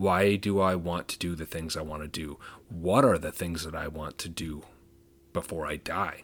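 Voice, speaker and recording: A man speaks with a very deep, low pitch at a moderate pace. His intonation stays fairly even. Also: very clean recording, silent background. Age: 30s. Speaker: podcast host with chronic pain, former 911 dispatcher. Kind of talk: solo podcast monologue. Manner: casual, with fillers.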